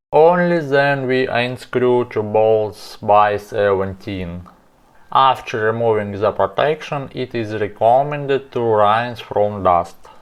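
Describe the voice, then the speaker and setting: Speaking very slowly with a non-native accent, a man uses a medium pitch and ordinary pitch variation. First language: not English. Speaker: car repair video maker. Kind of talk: tutorial.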